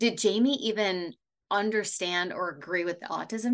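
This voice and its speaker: In a normal speaking voice, a woman of medium pitch talks at a moderate pace with lively intonation over a quiet background. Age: 40s. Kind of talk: casual interview chat.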